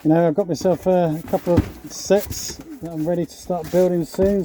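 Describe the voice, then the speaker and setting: The talking moves fairly quickly, with noticeable noise in the background. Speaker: hobbyist vlogger. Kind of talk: casual vlog.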